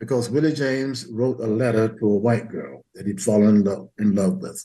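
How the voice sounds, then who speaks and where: A man with an American accent speaks at a medium pitch with lively intonation. His voice is somewhat breathy, with a dark, mellow tone. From US South. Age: 80s+. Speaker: history professor emeritus and author. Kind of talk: interview.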